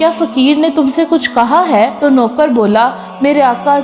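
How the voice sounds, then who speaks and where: A woman is speaking. Noticeable background noise sits behind her. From Pakistan. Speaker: voice-over artist. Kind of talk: moral story narration.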